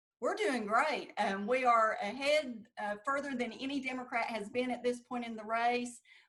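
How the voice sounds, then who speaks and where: In a Southern Appalachian accent, a woman with a high voice talks at a moderate pace with ordinary pitch variation. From US South, southeast Kentucky. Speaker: political candidate. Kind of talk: interview.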